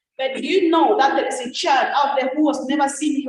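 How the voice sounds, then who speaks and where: A woman with an African accent talks at a moderate pace in a high voice with ordinary pitch variation. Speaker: network marketing ambassador. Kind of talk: testimony. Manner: animated.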